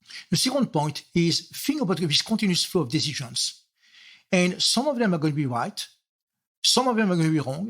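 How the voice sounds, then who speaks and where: In a French accent, the speaker moves along at a fairly quick pace. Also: man, very clean recording, silent background. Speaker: software architect. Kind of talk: interview.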